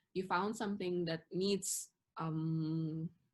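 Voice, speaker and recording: In an Indonesian accent, a woman speaks at a fairly low pitch with monotone, flat intonation. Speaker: interviewee living abroad. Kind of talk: interview. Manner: hesitant, many fillers.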